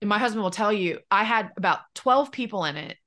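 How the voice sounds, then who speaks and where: Her tone bright and sharp, a woman talks at a very fast pace with ordinary pitch variation. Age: 30s. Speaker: business coach. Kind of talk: casual chat.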